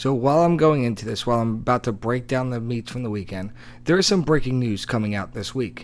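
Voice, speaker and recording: Mumbling at a fairly quick pace, a man speaks at a medium pitch with ordinary pitch variation. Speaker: high school cross country podcast host. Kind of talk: sports podcast commentary.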